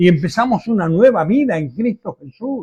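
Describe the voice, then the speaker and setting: A man with a high pitch speaks at a fairly slow pace, his voice making very wide pitch swings. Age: 70s. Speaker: pastor. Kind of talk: sermon.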